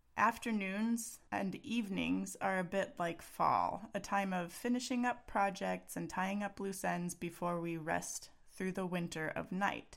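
A woman with an American accent at a fairly slow pace, with hardly any pauses. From Texas. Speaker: parenting coach and podcast host. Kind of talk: solo podcast monologue.

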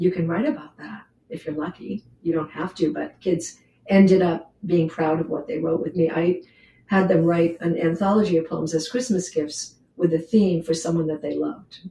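A woman's fairly low, somewhat breathy voice with an American accent, a dark, mellow tone, fairly even intonation and a moderate pace. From New Hampshire, US. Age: 70s. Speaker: poet and retired English teacher. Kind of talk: casual interview with poetry reading.

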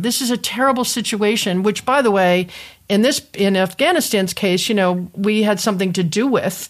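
This speaker has an unremarkable speaking voice in an American accent. The pace is moderate and the intonation lively. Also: woman. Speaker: podcast host. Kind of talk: interview conversation. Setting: video call.

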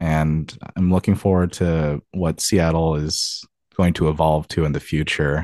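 In a very deep, low pitch, a man speaks with an American accent and a dark, mellow tone. His intonation is monotone and flat, and the sound is dry and close with no echo against a quiet background. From US Pacific Northwest, Tacoma, Washington. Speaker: video game QA tester. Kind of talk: interview. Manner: hesitant, many fillers.

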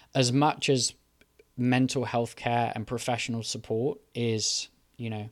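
With a British accent, a man speaks at a medium pitch and moderate pace in a flat, monotone delivery on a very clean recording with a silent background. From UK. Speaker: podcast host. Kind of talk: solo monologue on mental health. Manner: hesitant, many filler ums.

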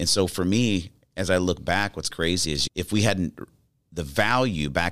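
A man talks with lively intonation. Vocal fry runs through his voice. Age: 40s. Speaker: public speaker and podcast host. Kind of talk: interview.

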